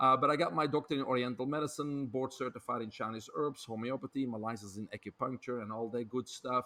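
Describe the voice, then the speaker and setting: A man with a Belgian accent at a medium pitch, very fast and with hardly any pauses, in fairly even intonation. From Belgium. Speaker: health author and speaker. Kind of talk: podcast interview.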